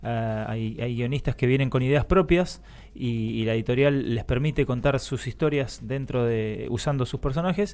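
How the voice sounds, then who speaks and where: Here a man speaks in a plain, everyday voice at a medium pitch. His pace is moderate, with ordinary pitch variation. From Argentina, born in Chile. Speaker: cosplayer and actor. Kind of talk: casual chat. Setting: radio studio.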